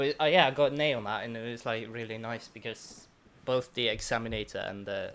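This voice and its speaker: A man with a British accent, medium pitch, fairly even intonation and a fairly quick pace. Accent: British-sounding English. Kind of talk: casual chat.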